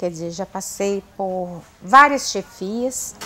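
A woman talks at a very slow pace. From Minas Gerais, Brazil (Viçosa); Minas Gerais, Brazil. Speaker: university administrative staff member; guest. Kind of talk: TV interview. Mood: warm, grateful, reflective. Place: studio. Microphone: lapel.

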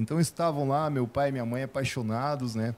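Ordinary pitch variation and a dark, mellow tone mark this man's speech at a fairly quick pace. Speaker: businessman, sales expert; sales expert. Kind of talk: interview. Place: studio. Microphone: handheld.

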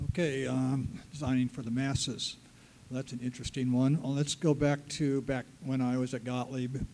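At a moderate pace, a man speaks at a medium pitch with monotone, flat intonation. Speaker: pinball designer; panelist. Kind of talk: convention panel talk. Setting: stage with audience. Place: hall. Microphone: handheld.

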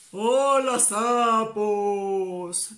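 Bellowing in a menacing tone, the speaker uses a put-on character voice with a fairly high pitch. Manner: roaring, menacing.

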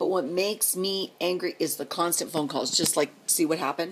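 A woman speaks at a moderate pace with a fairly low pitch. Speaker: vlogger and truck driver's wife. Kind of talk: angry personal rant to camera, venting about her absent husband. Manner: indignant, escalating, sarcastic rhetorical questions; rambling, repetitive and exasperated. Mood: angry, frustrated. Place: home room. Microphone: phone near.

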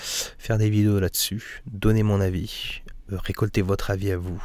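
A man is speaking. The sound is dry with no echo. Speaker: gaming YouTuber; flight sim streamer. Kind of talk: casual vlog monologue. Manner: hesitant, many fillers. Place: home room. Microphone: studio condenser mic; studio mic.

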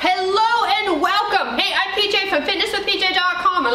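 A woman uses a raised, projected voice at a fairly slow pace, with audible room echo and light background noise. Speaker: fitness trainer. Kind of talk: workout instruction to camera. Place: gym.

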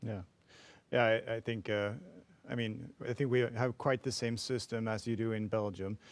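A man at a moderate pace with long, frequent pauses, medium in pitch and monotone, in a very clean recording with a silent background. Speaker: physician. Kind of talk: conference moderation.

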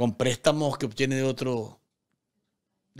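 The recording is very clean with a silent background, and the tone is fairly bright. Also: man.

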